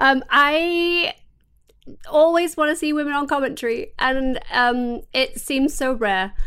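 A woman speaks in an English accent at a very slow pace with lively intonation. Her high-pitched voice has a bright, sharp tone. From England. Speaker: podcast co-host. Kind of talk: casual chat.

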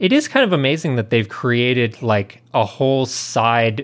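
Here is a man with an ordinary speaking voice at a medium pitch. He goes at a fairly slow pace with ordinary pitch variation. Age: 30s. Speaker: video game podcast co-host. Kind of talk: casual chat.

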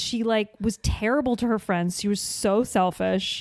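A woman with a slight New Jersey accent, at a fairly slow pace. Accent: faint New Jersey accent on certain words. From rural New Jersey. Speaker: actress and podcaster. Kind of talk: casual chat. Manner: frequent laughing.

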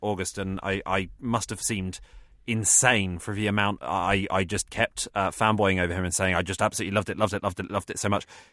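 A very fast, monotone delivery with flat intonation in an English accent, bright and sharp in tone, with a dry, close sound and no echo. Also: man. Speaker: comedian. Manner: halting.

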